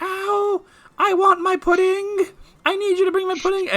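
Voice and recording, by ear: A put-on character voice at an extremely high pitch moves at a moderate pace in monotone, flat intonation.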